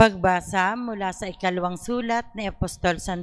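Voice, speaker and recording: A woman speaks fairly slowly with ordinary pitch variation, and the background is quiet. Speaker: lector. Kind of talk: scripture reading aloud. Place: church. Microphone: handheld.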